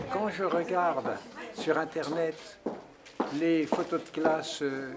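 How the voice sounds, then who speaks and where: With noticeable background noise behind him, the man talks at a fairly high pitch that varies in an ordinary way. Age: 80s+. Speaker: painter. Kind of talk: interview. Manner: halting.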